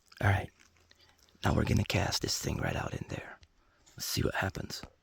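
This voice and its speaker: Whispering, a man speaks at a moderate pace. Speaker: outdoors vlogger, fishing and gold panning. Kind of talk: casual vlog narration. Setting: outdoors on a kayak. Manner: chatty, animated.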